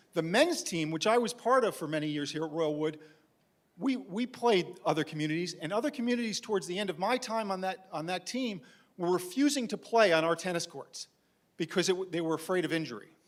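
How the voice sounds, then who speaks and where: An animated man with a New York accent, high-pitched, lively intonation, fairly quick pace. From New York City (Manhattan). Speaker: community resident speaking at board meeting. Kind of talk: public comment at meeting. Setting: board meeting room. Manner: animated, insistent.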